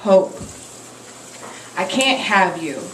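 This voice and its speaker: A woman talks at a fairly slow pace with fairly even intonation. Noticeable background noise runs under her voice. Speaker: slam poet. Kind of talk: spoken word poetry performance. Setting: live cafe open mic.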